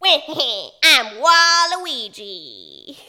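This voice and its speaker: A high-pitched, put-on character voice. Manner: mischievous, cackling, exaggerated.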